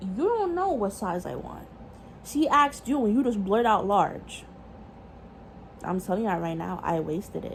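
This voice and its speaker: There is noticeable background noise behind this woman. She talks in a New York accent at a medium pitch, with lively intonation. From New York City. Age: young. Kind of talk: casual storytime talk to camera.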